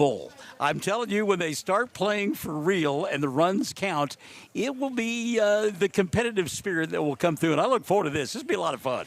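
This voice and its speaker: Loud and fairly quick, a man's high-pitched voice moves through very wide pitch swings. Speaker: sports play-by-play announcer. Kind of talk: live commentary.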